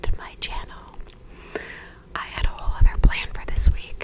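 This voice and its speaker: A whispering woman with an American accent, relaxed in tone, at a moderate pace amid noticeable background noise. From New York / Los Angeles, American. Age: 30s. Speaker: actress and writer, ASMR creator. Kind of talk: whispered ASMR storytime, casual personal anecdote. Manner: whispered, soft, relaxed, chatty.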